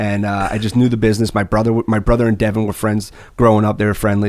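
Someone with an American accent speaks at a very fast pace. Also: man. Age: 30s. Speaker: construction business executive. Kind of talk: casual chat.

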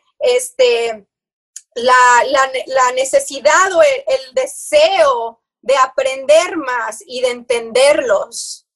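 Her voice is pitched high. The woman's pitch moves up and down in an ordinary way. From Houston, Texas, of Mexican parents (born in Monterrey). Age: 30s. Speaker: wellness coach. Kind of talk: interview.

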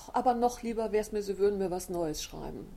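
Her tone is dark and mellow as this woman speaks. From Westerwald, Germany (Hachenburg). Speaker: crime novelist and press officer. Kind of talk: interview. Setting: library. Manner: hesitant, many filler sounds.

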